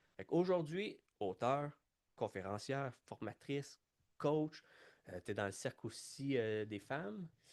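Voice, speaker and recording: In a Quebec accent, a man of medium pitch speaks at a fairly slow pace with lively intonation, the sound dry and close with no echo against a quiet background. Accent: Québécois French. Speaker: podcast host, leadership coach. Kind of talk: podcast interview. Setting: studio.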